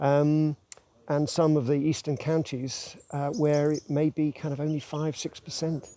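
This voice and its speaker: A man's fairly high-pitched voice, dark and mellow in tone, at a fairly slow pace. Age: 60s. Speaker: wildlife researcher. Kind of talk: interview. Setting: podcast. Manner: halting.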